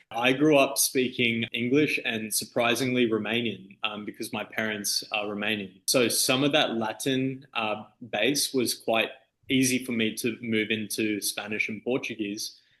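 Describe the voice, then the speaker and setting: With an Australian accent, a man speaks in a bright, sharp tone with fairly even intonation. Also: medium pitch for a man, fairly slow pace. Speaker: DJ and music producer. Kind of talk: interview. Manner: casual, halting with fillers.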